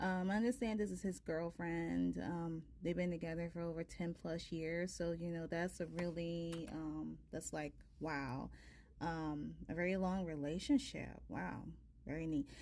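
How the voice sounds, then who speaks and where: A woman speaks softly. Her pace is fairly slow. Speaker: tarot reader. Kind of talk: casual chat. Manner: soft-spoken; hesitant, many fillers.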